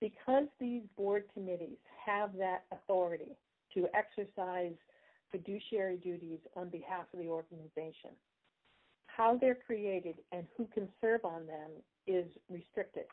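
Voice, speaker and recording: Her pitch sits at a medium level for a woman, with ordinary variation. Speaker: bylaws presenter at member Q&A. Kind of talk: explanatory presentation. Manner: fast.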